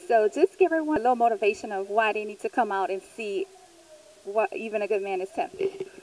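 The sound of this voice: A woman talks at a fairly quick pace, her medium-pitched voice showing a slightly mellow tone and ordinary pitch variation.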